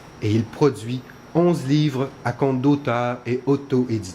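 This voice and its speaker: This is a man with an ordinary speaking voice. He speaks at a fairly high pitch and a fairly slow pace. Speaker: interviewer, writers' association president. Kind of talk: interview questions and introduction.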